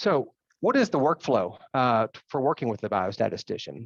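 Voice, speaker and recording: The sound is dry and close with no echo as a man speaks at a medium pitch over a quiet background. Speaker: biostatistician. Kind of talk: lecture. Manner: fast.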